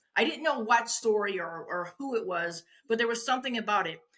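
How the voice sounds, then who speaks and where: A woman with a bright, sharp tone and a fairly high pitch sounds animated as she talks at a fairly quick pace. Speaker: wedding industry veteran and former photographer. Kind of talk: interview.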